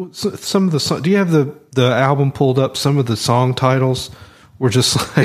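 Here a man talks in a Southern US accent at medium pitch and a moderate pace. His loudness stays very even, with ordinary pitch variation. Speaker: podcast host. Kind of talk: casual chat.

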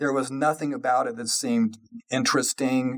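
A man with a General American accent, an unremarkable speaking voice, medium pitch, ordinary pitch variation and a moderate pace. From Colorado, US. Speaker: tech industry lawyer. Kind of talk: interview.

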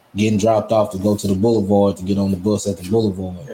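Speaking very fast, a man uses a fairly low, somewhat breathy voice with fairly even intonation. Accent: American. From Ruston, Louisiana. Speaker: podcast host, barber. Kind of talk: casual interview chat. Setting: barbershop.

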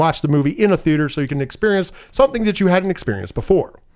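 Amid noticeable background noise, a man talks at a very fast pace with high pitch. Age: 30s. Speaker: podcast host. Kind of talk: casual chat. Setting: studio.

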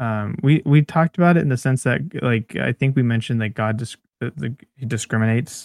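In an unremarkable speaking voice, a man talks at a moderate pace and medium pitch with ordinary pitch variation, the sound dry and close with no echo on a very clean recording with a silent background. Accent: American. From California Central Valley (Bakersfield). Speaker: podcast co-host. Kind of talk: casual chat about scripture.

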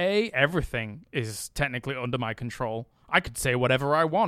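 A man with an English accent, medium-pitched, in a dry, close sound with no echo on a very clean recording with a silent background. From England. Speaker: esports host. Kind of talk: casual chat. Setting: hotel room.

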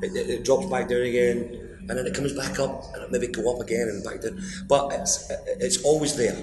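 A man's medium-pitched voice in a Glaswegian accent, with music in the background and audible room echo. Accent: Glaswegian Scottish. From Scotland. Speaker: blues guitarist and singer. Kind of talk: interview.

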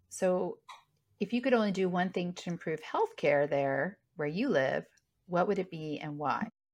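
A woman with a fairly low pitch has a plain, everyday voice and lively intonation, heard over a quiet background. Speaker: interviewer. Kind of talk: casual interview.

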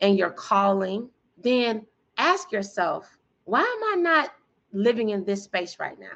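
This woman has an unremarkable speaking voice at a medium pitch. Her intonation is lively. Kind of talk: casual interview. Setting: video call.

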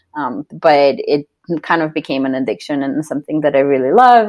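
Talking at a fairly quick pace, a woman has a very deep, low pitch. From Slovenia. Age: 20s. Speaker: ultra endurance athlete and coach. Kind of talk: casual interview.

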